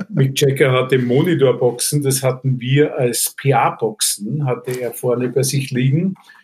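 A man's somewhat breathy, medium-pitched voice at a fairly slow pace with fairly even intonation. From Vienna, Austria. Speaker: concert stage manager. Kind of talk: casual interview.

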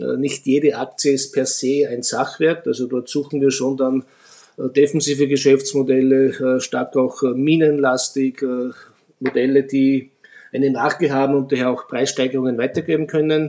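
Speaking at a moderate pace, a man with a fairly high pitch delivers his words in a dark, mellow tone with monotone, flat intonation. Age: 50s. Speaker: fund manager. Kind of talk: expert interview on investing.

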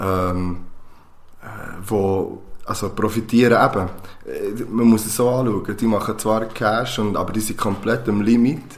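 A man's fairly low-pitched voice at a fairly slow pace, with fairly even intonation, long, frequent pauses and audible room echo. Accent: Swiss. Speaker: podcast co-host, teacher. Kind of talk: casual chat.

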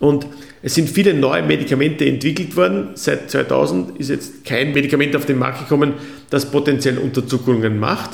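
A man talks at a moderate pace with a fairly high pitch and ordinary pitch variation. Room echo is audible, and background noise is noticeable. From Austria. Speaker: physician. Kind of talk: interview. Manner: formal.

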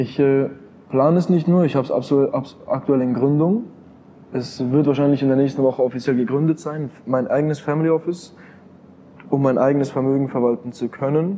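A man speaks fairly quickly in a fairly high pitch. He has a plain, everyday voice with fairly even intonation. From Switzerland, canton of Bern. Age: 20s. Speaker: crypto investor and entrepreneur. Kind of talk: interview.

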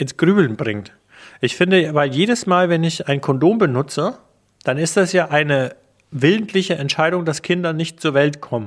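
Clean and silent in the background, the recording captures a man with a normal speaking voice, a fairly high pitch and lively intonation. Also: moderate pace. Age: 40s. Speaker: radio journalist, podcast co-host. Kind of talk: casual chat.

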